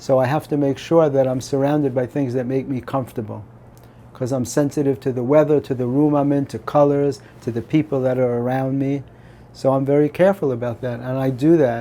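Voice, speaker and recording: Moving at a fairly quick pace, a man with a medium-pitched voice and a dark, mellow tone keeps his intonation fairly even. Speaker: comedy writer and comedian. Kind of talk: interview. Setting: at his home. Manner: talkative.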